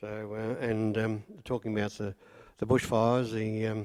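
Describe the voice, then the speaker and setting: A man with a rural Australian accent on a very clean recording with a silent background. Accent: broad rural Australian. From rural Victoria, Australia. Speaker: local resident sharing memories. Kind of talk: group reminiscence.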